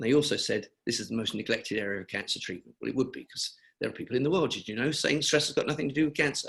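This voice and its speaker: A man talks with a British accent. His pitch variation is ordinary. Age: 70s. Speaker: cancer charity founder. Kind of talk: webinar interview.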